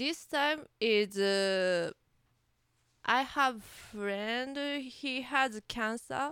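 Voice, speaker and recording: A woman's bright, sharp tone in a Japanese accent, very slow pace and ordinary pitch variation, on a very clean recording with a silent background. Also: fairly high pitch for a woman. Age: 30s. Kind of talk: interview. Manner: halting.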